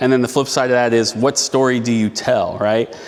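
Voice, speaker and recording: A man speaks at a very fast pace with medium pitch. His intonation is monotone and flat, with noticeable background noise behind him. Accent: Midwestern US. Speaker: city council member. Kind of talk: storytelling talk. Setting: event venue stage with audience. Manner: loud. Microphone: no microphone.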